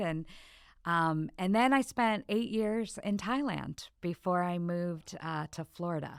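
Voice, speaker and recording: A woman with an American accent and an ordinary speaking voice talks at a fairly low pitch with ordinary pitch variation, in a very clean recording with a silent background. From Michigan, US Midwest. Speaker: former missionary. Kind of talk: podcast interview, personal testimony.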